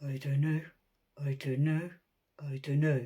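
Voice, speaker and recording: In a put-on character voice, the speaker holds a low-to-middle pitch with monotone, flat intonation. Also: fairly slow pace. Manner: repetitive.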